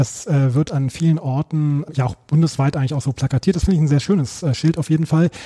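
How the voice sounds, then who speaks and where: Very fast and with hardly any pauses, a man speaks in a dark, mellow, somewhat breathy tone with ordinary pitch variation, the sound dry and close with no echo. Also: fairly high pitch for a man. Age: 40s. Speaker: teacher and book author. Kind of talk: interview.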